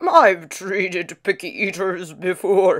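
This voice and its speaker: A raspy, put-on character voice from a woman, medium in pitch, fairly slow, with ordinary pitch variation. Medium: read story.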